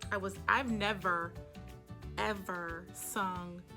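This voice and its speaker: The speaker has a Southern US accent. Music plays in the background. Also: woman. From North Carolina, USA. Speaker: event and wedding planner, lifestyle vlogger. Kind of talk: casual talk to camera.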